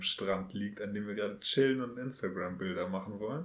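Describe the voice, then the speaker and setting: Delivered at a fairly quick pace, an unremarkable speaking voice carries ordinary pitch variation. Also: man. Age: 30s. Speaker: podcast host. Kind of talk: casual chat.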